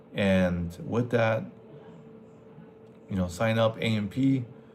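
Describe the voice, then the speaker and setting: In a noticeably noisy setting with audible room echo, a man with a Spanish accent speaks at a fairly low pitch with ordinary pitch variation. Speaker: military veteran aircraft maintenance mentor. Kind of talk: livestream Q&A, casual. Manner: casual, halting with fillers.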